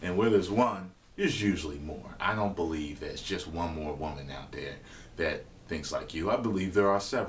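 At a moderate pace, a man with a very deep, low pitch and ordinary pitch variation speaks over light background noise. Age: 30s. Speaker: online video host answering viewer questions. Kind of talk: casual advice monologue. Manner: casual, hesitant with fillers. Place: kitchen. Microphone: webcam.

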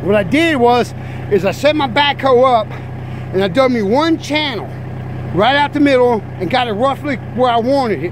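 The speech moves at a moderate pace. The sound is dry with no echo, though noticeable background noise is present. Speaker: hobbyist tractor operator. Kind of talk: tutorial. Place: open country. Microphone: phone near.

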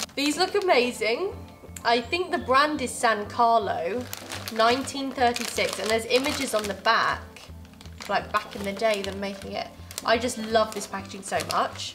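A woman's fairly slow speech over clear background music. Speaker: co-host. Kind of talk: casual vlog chat. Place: home room. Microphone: lapel.

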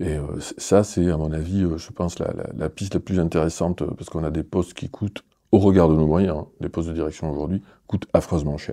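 A man talks with a very deep, low pitch and a dark, mellow tone. His intonation is fairly even, and the background is quiet. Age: 50s. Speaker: arts centre director. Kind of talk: interview. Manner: hesitant, with many fillers. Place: studio.

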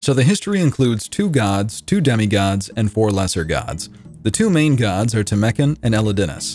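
A man talks at a very fast pace in a medium-pitched voice. Music plays in the background. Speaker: community content creator narrating a quest recap. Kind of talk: video game lore recap narration. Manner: casual, humorous, explanatory.

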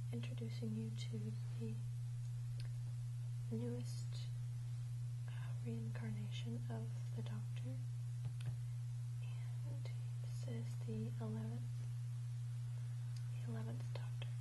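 A soft-spoken woman talks at a fairly slow pace with long, frequent pauses. Loud background noise runs underneath. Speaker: product reviewer. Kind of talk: unboxing review talk. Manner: soft-spoken, hushed ASMR voice. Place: home room. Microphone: lapel.

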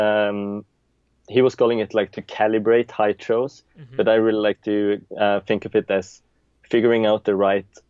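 A man with a Norwegian accent, fairly low in pitch, monotone and flat, at a moderate pace, dry with no echo over a quiet background. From Norway, Stavanger; Norway. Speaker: juggler; interview guest. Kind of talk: interview. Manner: hesitant, many fillers. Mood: relaxed, reminiscing. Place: home room. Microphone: video call.

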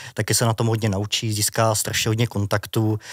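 A man with an unremarkable speaking voice, medium in pitch, at a fairly quick pace, in a dry, close sound with no echo and a very clean recording with a silent background. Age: 30s. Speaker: journalist. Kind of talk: interview.

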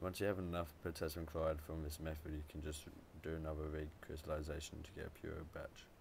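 A man mumbles quietly in a very deep, low, somewhat breathy voice. His intonation is monotone and flat, and his pace is fairly quick. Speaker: amateur chemist. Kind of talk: tutorial narration. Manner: quiet, mumbling.

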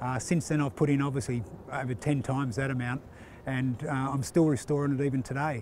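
At a fairly quick pace, a man speaks at medium pitch with a slightly mellow tone and little pitch movement.

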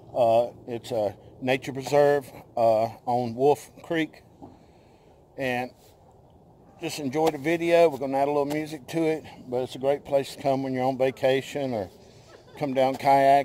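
A man at a medium pitch with a dark, mellow tone, little pitch movement and a fairly slow pace, broken by long, frequent pauses

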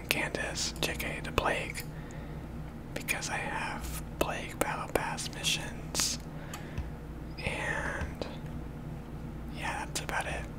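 A very slow pace over loud background noise. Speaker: gaming ASMR creator. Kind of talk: ASMR gaming commentary. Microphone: studio mic.

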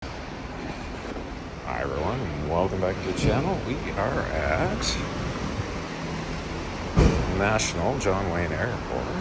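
Through loud background noise, a man talks at a very slow pace with long, frequent pauses. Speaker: car rental vlogger. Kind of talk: casual vlog commentary. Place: garage. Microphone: phone near.

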